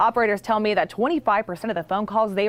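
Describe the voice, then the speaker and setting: A woman speaks in a normal speaking voice, medium in pitch with ordinary pitch variation. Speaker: TV news reporter. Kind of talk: TV news report narration.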